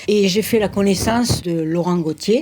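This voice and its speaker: Dark and mellow in tone, a woman talks with ordinary pitch variation. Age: 70s. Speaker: charity volunteer and deputy mayor. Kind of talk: interview. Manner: halting.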